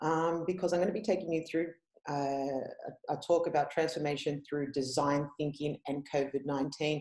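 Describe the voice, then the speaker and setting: Very deep and low in pitch, a woman with an Australian accent speaks with fairly even intonation. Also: moderate pace. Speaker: head of user experience. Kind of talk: conference presentation. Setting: online conference. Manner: casual, many fillers.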